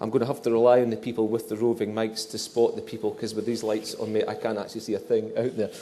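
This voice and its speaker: With a Scottish accent, a man speaks at a very fast pace with hardly any pauses, amid audible room echo. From northeast Scotland. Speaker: journal editor, event moderator. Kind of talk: event Q&A moderation. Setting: dinner event, stage lights, audience. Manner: halting, repetitive.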